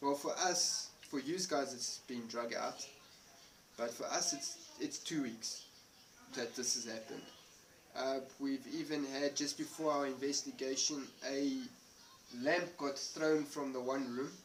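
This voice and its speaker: Over noticeable background noise, a man talks at a fairly slow pace with long, frequent pauses. His pitch is fairly high, with ordinary variation. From South Africa. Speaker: paranormal investigator. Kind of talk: casual chat. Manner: halting.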